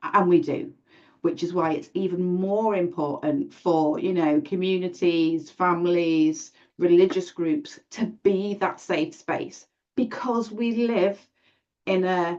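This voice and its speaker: With a British accent, a woman speaks at a very slow pace and a medium pitch, with lively intonation. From UK. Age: 40s. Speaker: event host and domestic abuse advocate. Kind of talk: panel discussion. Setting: live stream. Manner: halting.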